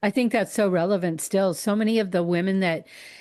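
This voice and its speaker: The background is quiet as a woman speaks at a moderate pace. She has a normal speaking voice with a medium pitch. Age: 60s. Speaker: podcast host. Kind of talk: casual interview chat.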